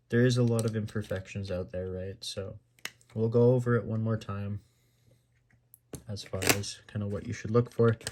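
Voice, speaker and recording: Quiet and monotone, a man with a fairly low pitch and a dark, mellow tone speaks at a moderate pace with long, frequent pauses. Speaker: gaming YouTuber. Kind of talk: tutorial. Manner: halting, many fillers.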